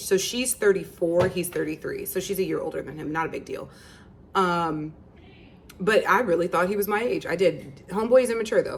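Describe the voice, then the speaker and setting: With an American accent, a woman talks in an animated tone, her pitch swinging very widely. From Virginia, USA. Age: 30s. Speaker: YouTuber and relationship coach. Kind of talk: casual talk to camera. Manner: animated, chatty.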